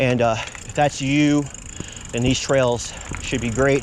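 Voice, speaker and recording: Against noticeable background noise and audible room echo, a man with an American accent speaks very slowly at a medium pitch with fairly even intonation. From Virginia, Hampton Roads area. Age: 50s. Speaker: mountain biking vlogger. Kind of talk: casual vlog narration. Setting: outdoors on bike trail.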